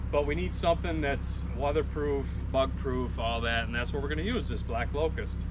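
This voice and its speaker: Noticeable background noise and audible room echo accompany fairly quick speech. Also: man. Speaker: farmer and video channel owner. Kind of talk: casual farm work vlog. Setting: outdoors on a farm.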